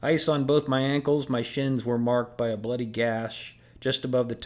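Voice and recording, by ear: Fairly even intonation marks this natural voice reading aloud.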